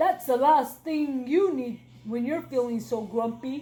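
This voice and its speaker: The speaker uses a put-on character voice at a fairly slow pace. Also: woman. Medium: read story. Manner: helpful, fussy.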